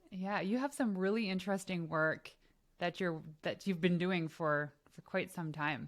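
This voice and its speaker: A woman at a moderate pace, fairly low in pitch, with ordinary pitch variation. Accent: slight Canadian. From Canada. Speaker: podcast host. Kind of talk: interview.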